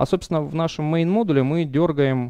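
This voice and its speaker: A man's dark, mellow voice in a dry sound with no echo, against a quiet background. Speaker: software developer; conference speaker. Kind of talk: conference talk. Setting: stage with audience. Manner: halting, many fillers. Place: hall. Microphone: headset.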